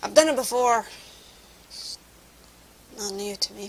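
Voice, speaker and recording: Speaking at a moderate pace, a woman with a Scottish accent has a fairly high pitch. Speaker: vlogger. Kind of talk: casual vlog monologue. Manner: halting.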